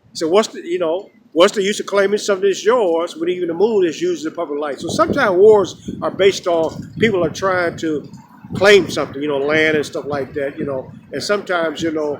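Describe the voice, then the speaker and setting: A man with an American accent, high in pitch with ordinary variation, at a fairly quick pace over noticeable background noise. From Chicago. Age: 60s. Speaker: street philosopher vlogger. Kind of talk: casual outdoor monologue. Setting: outdoors. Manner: rambling with many fillers.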